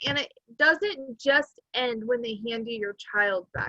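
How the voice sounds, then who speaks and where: Speaking at a fairly slow pace, a woman raises and projects her bright, sharp voice in a dry, close recording with no echo. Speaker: podcast host. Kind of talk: interview.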